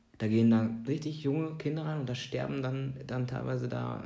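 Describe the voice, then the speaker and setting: The man's voice is medium in pitch, with a dark, mellow tone and lively intonation. He goes at a moderate pace, and room echo is audible. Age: 30s. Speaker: film podcast co-host. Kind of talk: casual chat.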